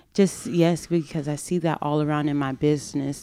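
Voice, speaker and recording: A woman's very deep, low voice with a dark, mellow tone and an American accent, at a moderate pace, on a very clean recording with a silent background. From US South, Fort Lauderdale, Florida, Haitian household. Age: 30s. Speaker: womb health and self-love educator. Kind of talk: casual interview chat.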